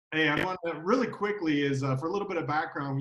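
A man speaks with ordinary pitch variation. There is audible room echo and a quiet background. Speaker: legal services sales associate. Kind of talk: interview. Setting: video call. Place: home room. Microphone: video call.

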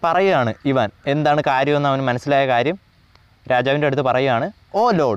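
An ordinary speaking voice with ordinary pitch variation and very even loudness. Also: man, fairly high pitch for a man. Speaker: online tutor. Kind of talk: lecture.

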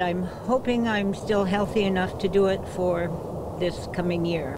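Over noticeable background noise, a woman speaks at a fairly slow pace, and the sound is dry with no echo. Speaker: triathlete. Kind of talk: interview answer. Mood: cheerful, proud. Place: garden.

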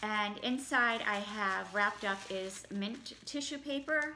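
Over light background noise, a woman speaks with ordinary pitch variation. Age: 40s. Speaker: YouTuber. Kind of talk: product unboxing. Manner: casual, with fillers. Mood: pleased, mildly excited. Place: home room. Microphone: phone near.

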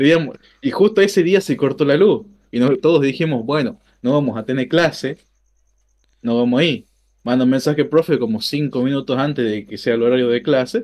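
A man with an Argentine accent and a fairly high pitch, broken by long, frequent pauses. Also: lively intonation, moderate pace. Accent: Argentine Spanish (Rioplatense). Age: 20s. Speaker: streamer, programming student; streamer. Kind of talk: casual chat. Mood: relaxed storytelling.

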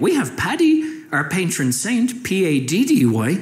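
There is noticeable background noise as a man speaks with very wide pitch swings. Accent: Irish. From Ireland. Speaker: stand-up comedian. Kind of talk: stand-up comedy set.

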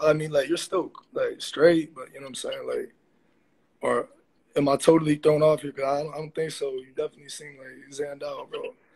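The pace is fairly quick. The speaker is a man. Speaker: livestream viewer joining. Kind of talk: casual chat. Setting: video call. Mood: challenging, mocking. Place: home room. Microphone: phone near.

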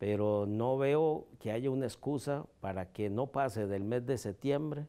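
A man speaks fairly slowly in a dark, mellow tone. His intonation is lively. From Costa Rica. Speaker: judge. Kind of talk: interview. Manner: formal. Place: office. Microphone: lapel.

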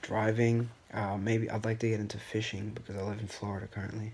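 Somewhat breathy and fairly low in pitch, a man speaks in a monotone, flat way. Light background noise can be heard. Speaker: first-time vlogger. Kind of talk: casual vlog chat. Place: home room. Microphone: phone near.

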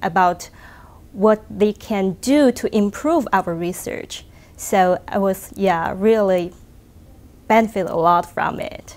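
A woman speaks at a very slow pace with a Chinese accent. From China. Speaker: research engineer. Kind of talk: interview answer. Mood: calm, thoughtful, friendly. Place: hall. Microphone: lapel.

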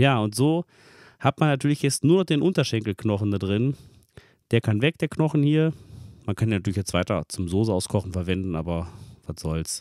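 A normal speaking voice moves at a fairly quick pace, with a dry sound with no echo and a quiet background. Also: man, fairly low pitch for a man. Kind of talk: tutorial. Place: kitchen. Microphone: phone near.

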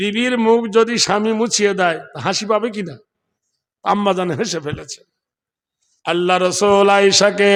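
A man's high voice with ordinary pitch variation. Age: old. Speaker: Islamic preacher. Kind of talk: sermon. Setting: stage with audience. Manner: animated.

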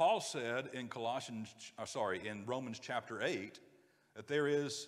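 Taking a fairly slow pace, a man talks in an American accent. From US South, North Georgia; Georgia. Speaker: preacher. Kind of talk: sermon. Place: church.

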